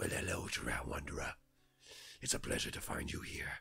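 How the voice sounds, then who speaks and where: Using a put-on character voice, a man growls at a moderate pace in a raspy, gravelly voice with a very deep, low pitch. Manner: welcoming yet menacing, beckoning.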